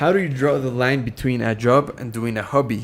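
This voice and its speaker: Music plays in the background as the speaker, with a Spanish accent, keeps a fairly even intonation. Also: man. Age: 20s. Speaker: streamer and productivity course creator. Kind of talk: live stream Q&A chat. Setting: live stream. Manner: casual, hesitant with repetitions.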